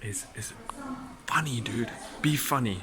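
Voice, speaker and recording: Noticeable background noise runs under the recording. A man speaks at a medium pitch and a fairly slow pace. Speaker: dating coach. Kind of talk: casual vlog advice. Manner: halting.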